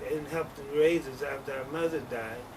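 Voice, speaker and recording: A fairly high-pitched man is heard with audible room echo and noticeable background noise. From US Midwest, St. Louis, Missouri. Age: 70s. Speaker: interviewee telling life story. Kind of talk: life story interview. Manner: halting, many fillers.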